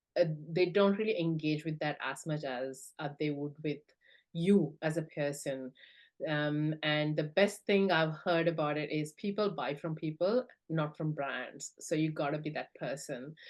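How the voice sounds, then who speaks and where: A woman speaks with a very deep, low pitch and ordinary pitch variation. Her pace is fairly slow, and she has a non-native accent. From South India. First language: not English. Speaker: business founder. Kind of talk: interview. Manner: halting, many fillers.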